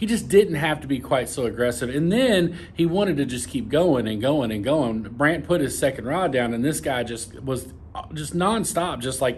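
A somewhat breathy man speaks at a moderate pace. He leaves hardly any pauses. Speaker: fishing vlogger. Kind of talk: casual vlog chat. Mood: calm, mildly aggrieved explanation. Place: office. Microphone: phone near.

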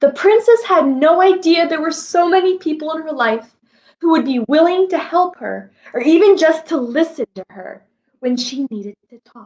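This woman speaks at a moderate pace with a high pitch and a slightly mellow tone. Her intonation is lively.

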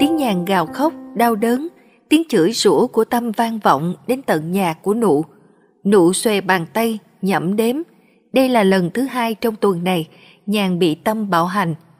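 Her intonation lively and her pitch medium, a woman speaks at a very slow pace. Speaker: story narrator. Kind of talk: read social drama story. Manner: expressive, moving.

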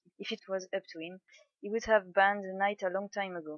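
A woman with a French accent, medium in pitch, at a fairly quick pace, monotone and flat, with a dry, close sound and no echo. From France. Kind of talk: book reading.

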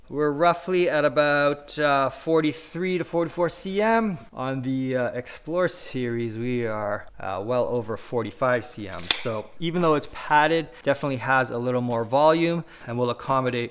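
Noticeable background noise accompanies a man speaking at a fairly slow pace. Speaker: gear reviewer. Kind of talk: product demonstration. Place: home room.

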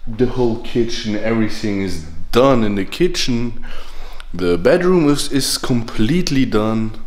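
A man at a fairly slow pace, lively intonation, audible room echo. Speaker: vlogger moving apartments. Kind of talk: casual vlog chat. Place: home room. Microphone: phone near.

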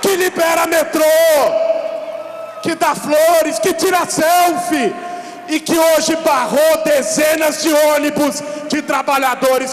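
A man speaks at a very slow pace with long, frequent pauses and very even loudness. There is audible room echo and light background noise. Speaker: speaker. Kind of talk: political speech. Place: street.

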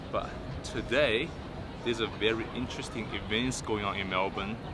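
A man is speaking with noticeable background noise. The sound is dry with no echo. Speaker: vlogger. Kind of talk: casual vlog chat. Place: waterside.

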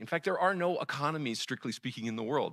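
Very fast and full of very wide pitch swings, a man's bright, sharp voice sits at a fairly high pitch with vocal fry, over a quiet background. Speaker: debater. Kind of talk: formal debate. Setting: stage with audience. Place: hall. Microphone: lapel.

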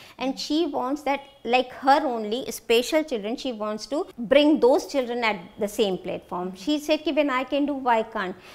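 A woman speaks in an Indian accent. Her high-pitched voice has lively intonation. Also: moderate pace, hardly any pauses. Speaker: mother of interviewee; interviewee. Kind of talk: interview. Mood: emotional, recalling hard times. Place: office.

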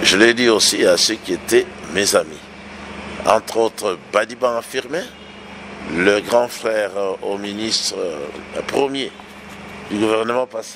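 Over noticeable background noise, a man talks at a very slow pace, with long, frequent pauses and ordinary pitch variation. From DR Congo. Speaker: pastor. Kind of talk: interview. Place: home room. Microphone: handheld.

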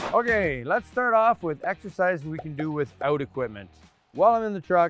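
A man's very fast speech, dry with no echo, over faint music in the background. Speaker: presenter. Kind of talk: tutorial. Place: street.

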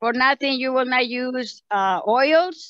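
This woman's high-pitched voice has a bright, sharp tone, recorded dry with no echo against a quiet background. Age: 70s. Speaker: medical clinic patient. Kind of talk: interview answer. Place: forest. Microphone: phone near.

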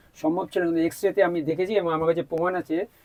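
The speaker is a man with a high-pitched voice. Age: 70s. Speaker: patient. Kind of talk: testimony.

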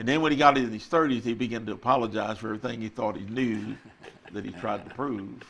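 A man talks at a very fast pace with ordinary pitch variation. His loudness swings widely, and light background noise sits behind him. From Texas. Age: 80s+. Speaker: retired pastor. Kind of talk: testimony. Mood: calm, reflective. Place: studio. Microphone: lapel.

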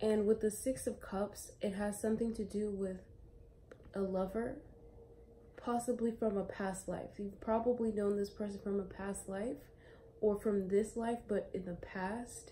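The voice is somewhat breathy, with monotone, flat intonation. Light background noise sits underneath. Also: woman, fairly slow pace. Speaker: tarot reader. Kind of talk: casual tarot reading chat. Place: home room. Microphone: phone near.

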